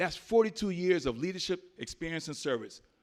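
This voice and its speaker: The man speaks in an animated tone. His pitch varies in an ordinary way. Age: 60s. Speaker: political candidate, navy veteran. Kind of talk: campaign speech at forum. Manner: animated, preacher-like.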